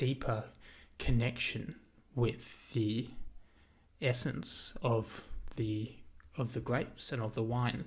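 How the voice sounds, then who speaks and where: A man with an Australian accent at a very slow pace, somewhat breathy and medium in pitch, with long, frequent pauses and audible room echo. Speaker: video essayist. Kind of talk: lecture. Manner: halting, many fillers.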